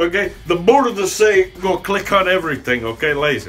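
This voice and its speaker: At a moderate pace, a man talks while faint music sits in the background. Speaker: comedian in character. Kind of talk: comedic character monologue.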